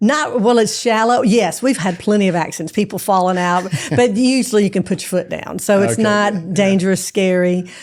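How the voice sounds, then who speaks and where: In a Southern US accent, a woman talks at a medium pitch and a fairly quick pace with hardly any pauses. Her pitch variation is ordinary, and the recording is very clean with a silent background. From Jackson, Mississippi. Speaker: hunter and fox hunter. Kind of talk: interview answer.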